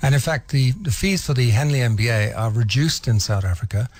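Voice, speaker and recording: Somewhat breathy, a man speaks at a fairly quick pace in a medium pitch with ordinary pitch variation. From England. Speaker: business school head. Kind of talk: radio interview.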